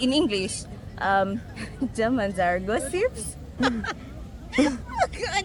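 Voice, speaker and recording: Against crowd noise in the background, a woman talks at a very slow pace with long, frequent pauses. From Uganda. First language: Luganda. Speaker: street interviewee. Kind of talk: street interview.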